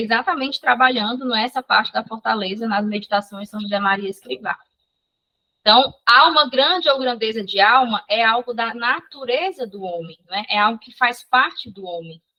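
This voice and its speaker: Her voice sits at a fairly high pitch with ordinary pitch variation, as this woman's loudness swings widely. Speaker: psychology instructor. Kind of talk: online lecture. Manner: fast.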